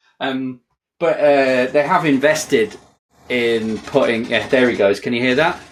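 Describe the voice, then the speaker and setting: A man with a northwest England accent talks at a moderate pace in a medium pitch. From northwest England (Kirkby Lonsdale, Lake District). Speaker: software developer, author. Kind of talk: podcast interview, casual chat. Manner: casual, some hesitations.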